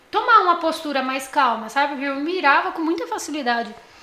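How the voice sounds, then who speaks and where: A raised, projected voice with lively intonation, audible room echo and noticeable background noise. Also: woman. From São Paulo, Morro Doce. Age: 20s. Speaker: podcast guest. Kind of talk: casual chat, personal testimony.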